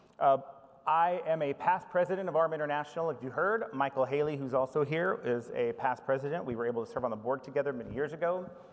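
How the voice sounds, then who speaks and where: A man with an American accent, fairly high in pitch, at a very fast pace with ordinary pitch variation. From United States. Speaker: information management professional. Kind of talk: conference presentation. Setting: conference stage with audience.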